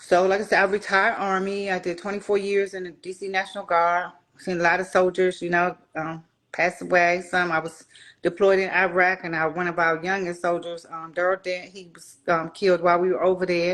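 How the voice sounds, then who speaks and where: Monotone, flat intonation at a fairly quick pace, with big swings in loudness and a quiet background. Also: woman, medium pitch for a woman. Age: 60s. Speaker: retired soldier and grief coach. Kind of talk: interview.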